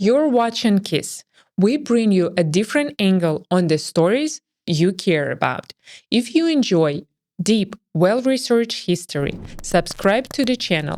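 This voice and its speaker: A woman with a Russian accent speaks at a fairly slow pace and medium pitch, with very wide pitch swings. Her loudness stays very even on a very clean recording with a silent background. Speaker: history documentary narrator. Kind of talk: scripted narration.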